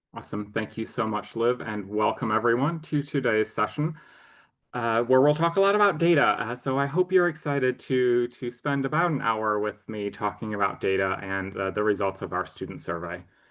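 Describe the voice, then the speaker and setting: The man has an unremarkable speaking voice at a medium pitch. He talks at a fairly quick pace with lively intonation. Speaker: marketing executive. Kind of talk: webinar presentation. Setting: online webinar. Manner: frequent filler words.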